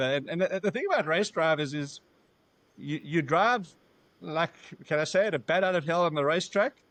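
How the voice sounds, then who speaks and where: A man with a South African accent speaks at a fairly quick pace. His pitch is high, with ordinary variation. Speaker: business founder. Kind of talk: podcast interview. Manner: halting.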